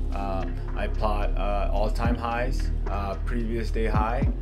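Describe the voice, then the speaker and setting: Loud music plays in the background as a man talks at a very slow pace. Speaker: day trader. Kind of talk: trade recap screen-share commentary. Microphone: webcam.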